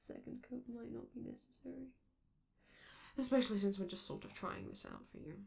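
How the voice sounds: In a put-on character voice, a woman speaks at a fairly quick pace with vocal fry, a slightly mellow tone and very wide pitch swings. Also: medium pitch for a woman.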